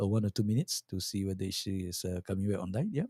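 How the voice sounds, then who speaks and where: Recorded dry and close with no echo, a man speaks in a fairly low, dark, mellow voice. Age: 60s. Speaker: live stream talk show host. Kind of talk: casual interview chat. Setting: video call live stream. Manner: halting, many repeated words.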